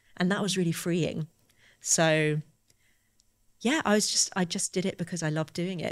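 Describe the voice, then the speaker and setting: The recording is very clean, with a silent background. A woman speaks at a moderate pace with vocal fry. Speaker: novelist. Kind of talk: interview.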